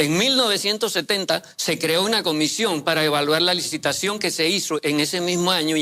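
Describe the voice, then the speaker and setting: Over noticeable background noise, a man speaks fairly quickly in a high pitch with ordinary pitch variation. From Panama, Chiriquí. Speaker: mining sector commentator. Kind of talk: panel discussion. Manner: halting, many fillers.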